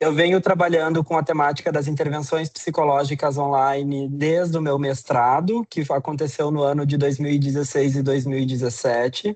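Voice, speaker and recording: In a Brazilian accent, a man speaks at a fairly high pitch with fairly even intonation. His moderate pace has hardly any pauses. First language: Portuguese (speaking Spanish). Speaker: psychology professor. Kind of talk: lecture.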